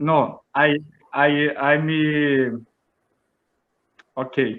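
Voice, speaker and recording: A man speaks in a Portuguese accent at a fairly high pitch. His intonation is monotone and flat. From Brazil, São Paulo area. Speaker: English learner. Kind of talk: language lesson. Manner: halting, stammering.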